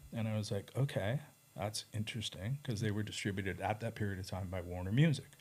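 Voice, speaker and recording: A somewhat breathy voice rushes along at a very fast pace. It has a Canadian accent and ordinary pitch variation. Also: man, fairly low pitch for a man. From Canada. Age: 60s. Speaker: record label owner and artist manager. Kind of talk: casual interview chat.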